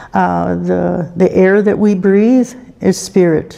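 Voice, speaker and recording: A woman speaks in a calm tone over noticeable background noise. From Canada, Cree First Nation. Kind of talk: spiritual talk at a conference opening. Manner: calm, reflective.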